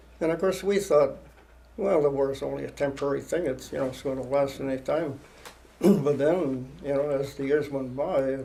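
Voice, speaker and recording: Audible room echo surrounds a voice with a Canadian accent moving at a moderate pace. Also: man. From Ontario, Canada. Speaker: war veteran. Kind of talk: oral history interview. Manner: halting.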